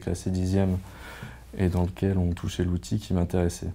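At a moderate pace, a man talks in a very deep, low pitch with a dark, mellow tone. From Provence, southern France. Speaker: former master's student. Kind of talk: testimonial interview. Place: office. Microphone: lapel.

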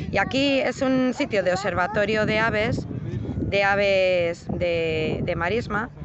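Recorded dry with no echo but with noticeable background noise, a man speaks in a high pitch with ordinary pitch variation. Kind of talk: casual vlog chat. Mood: cheerful, admiring. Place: waterside. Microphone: phone near.

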